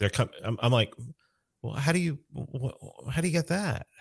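Recorded very cleanly against a silent background with a dry, close sound and no echo, a man with an American accent talks at a moderate pace in a somewhat breathy voice with very wide pitch swings. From New York City (South Bronx). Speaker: libertarian activist. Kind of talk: casual chat.

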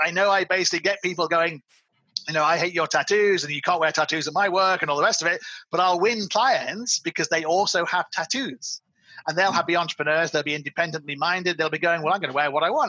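A man talks at a very fast pace, with an English accent. His voice is high for a man, with ordinary pitch variation. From England. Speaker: marketing agency owner. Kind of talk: interview.

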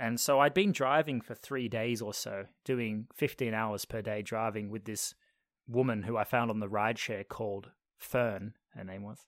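A man talks at a medium pitch and a moderate pace, in a plain, everyday voice. His intonation is fairly even, but his loudness swings widely. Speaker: podcast host being interviewed. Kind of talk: casual chat. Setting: video call.

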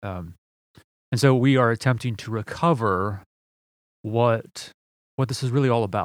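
A medium-pitched man at a moderate pace with ordinary pitch variation and long, frequent pauses, in a very clean recording with a silent background. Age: 40s. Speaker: podcast host and pastor. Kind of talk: solo podcast monologue. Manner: halting, many fillers.

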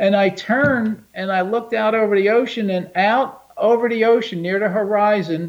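Against noticeable background noise, a man with a high pitch talks with fairly even intonation and hardly any pauses. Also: moderate pace. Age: 70s. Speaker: UFO researcher. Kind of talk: interview.

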